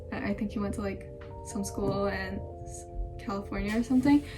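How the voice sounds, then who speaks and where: Music can be heard underneath. A woman does the talking. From Japan, Singapore and Indonesia. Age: young. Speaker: university student. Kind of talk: casual talk to camera.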